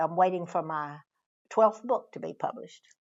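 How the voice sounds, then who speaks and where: A woman speaks with a Texas accent. Her pace is moderate. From Northeast Texas. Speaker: author. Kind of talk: interview. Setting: library.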